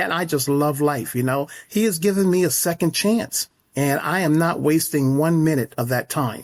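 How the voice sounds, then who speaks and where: A man with an American accent speaks in a plain, everyday voice at a moderate pace. His fairly high pitch shows ordinary variation, and his loudness stays very even. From upstate New York. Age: 60s. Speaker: horse stable owner. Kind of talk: interview.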